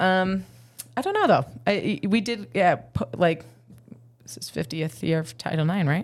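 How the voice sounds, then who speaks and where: A woman speaks at a fairly low pitch with vocal fry, very wide pitch swings and big swings in loudness. Her speech has long, frequent pauses. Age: 30s. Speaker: PE teacher and semi-pro football player. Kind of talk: casual chat.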